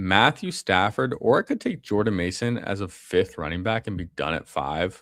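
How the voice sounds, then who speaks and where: Recorded very cleanly against a silent background, a man has an unremarkable speaking voice with a fairly low pitch and a dry, close sound with no echo. He speaks at a moderate pace with lively intonation and hardly any pauses. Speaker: fantasy football streamer. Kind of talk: casual live-stream chat while drafting. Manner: casual, slangy.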